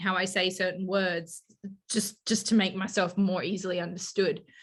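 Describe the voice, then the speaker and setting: A woman with a medium pitch speaks in a flat monotone. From Australia (Queensland, Western Australia). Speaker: fantasy author. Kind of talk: casual chat.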